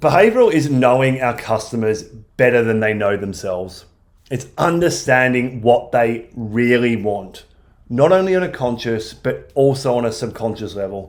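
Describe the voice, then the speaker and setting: There's audible room echo as a man speaks in a medium pitch at a moderate pace, with ordinary pitch variation. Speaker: marketing agency presenter. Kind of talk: webinar presentation. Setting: online webinar.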